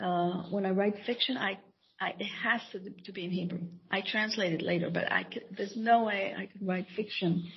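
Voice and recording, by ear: A woman speaks at a moderate pace with a medium pitch. She pauses only a few times.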